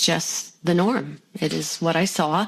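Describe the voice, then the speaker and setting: A woman with an American accent has a plain, everyday voice, a fairly low pitch and fairly even intonation. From US, Pennsylvania (Bethlehem). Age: 60s. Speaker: mother of four, former nursing student. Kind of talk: interview testimony.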